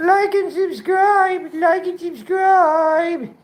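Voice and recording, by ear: This squeaky, put-on character voice sits at an extremely high pitch and moves at a very slow pace.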